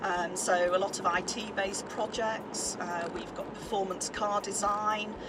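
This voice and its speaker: With a northern English accent, a woman talks at a fairly slow pace with hardly any pauses and a monotone, flat intonation, amid audible room echo and noticeable background noise. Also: medium pitch for a woman. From northern England. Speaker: head teacher, former judge. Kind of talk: interview conversation. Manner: hesitant, many fillers.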